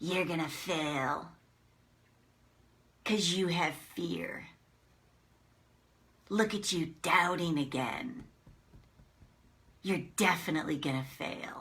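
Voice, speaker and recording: This is a put-on character voice at a middle pitch. It moves at a fairly slow pace with long, frequent pauses. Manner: mean, scolding.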